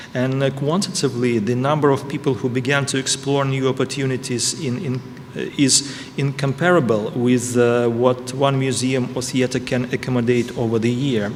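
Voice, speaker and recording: Background noise is noticeable as a man speaks. His intonation stays fairly even. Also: medium pitch for a man, moderate pace. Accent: Russian. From Russia. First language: Russian. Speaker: ambassador. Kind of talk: prepared speech. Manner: halting.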